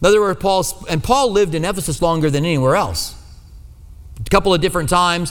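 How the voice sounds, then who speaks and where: A man's high-pitched voice with an American accent and ordinary pitch variation. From US Midwest. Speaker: pastor. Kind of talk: sermon. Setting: church.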